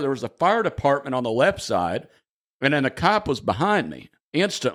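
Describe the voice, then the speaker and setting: A man with a strong Southern US accent and vocal fry. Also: very clean recording, silent background. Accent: thick Southern US. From southern Indiana, US. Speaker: stand-up comedian. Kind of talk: podcast interview answer.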